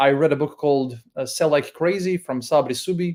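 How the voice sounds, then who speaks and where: A speaker with a strong Croatian accent, in a very clean recording with a silent background. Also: man. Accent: thick Croatian. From Croatia (Split). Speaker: email marketing consultant. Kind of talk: interview.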